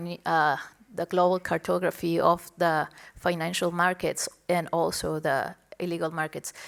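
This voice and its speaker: Recorded very cleanly over a silent background, a woman with a Spanish accent speaks at a fairly low pitch with monotone, flat intonation. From Mexico, Tijuana border. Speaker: lecturer and author. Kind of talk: onstage interview. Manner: halting in English.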